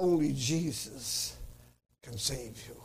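A man speaks in an animated tone with lively intonation. His pitch is fairly high, and vocal fry comes through. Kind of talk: sermon. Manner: animated, fervent preacher's cadence, repeating lines and calling for amens; emphatic, declamatory, hammering each point with repetition.

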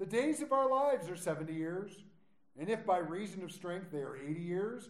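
A man speaks at a high pitch and moderate pace with very wide pitch swings. Audible room echo and noticeable background noise surround his voice. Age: 40s. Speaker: pastor. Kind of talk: sermon. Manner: animated.

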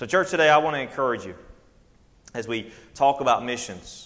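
A man with a Southern US accent speaks at a moderate pace with ordinary pitch variation. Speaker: preacher. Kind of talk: sermon. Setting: church. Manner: halting.

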